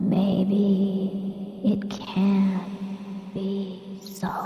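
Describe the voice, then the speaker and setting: A woman uses a put-on character voice at a medium pitch, with a clear echo and faint music in the background. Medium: read story.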